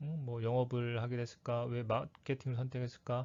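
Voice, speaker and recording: A man with an unremarkable speaking voice, medium in pitch, at a moderate pace. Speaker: career coach / lecturer. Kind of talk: lecture.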